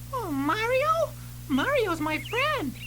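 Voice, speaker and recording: Loud background noise surrounds a squeaky, put-on character voice. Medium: read story.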